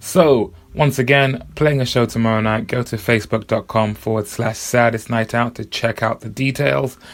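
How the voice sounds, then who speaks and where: With noticeable background noise behind him, a man speaks at a moderate pace in a fairly low voice with ordinary pitch variation. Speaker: podcast host. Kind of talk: casual podcast outro. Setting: studio foyer.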